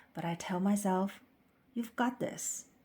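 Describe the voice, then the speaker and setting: A woman with a Chinese accent speaks at a medium pitch in a dark, mellow, somewhat breathy tone with fairly even intonation, on a very clean recording with a silent background. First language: Mandarin Chinese. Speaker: English teacher. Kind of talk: scripted narration for language practice. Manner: slow, clear.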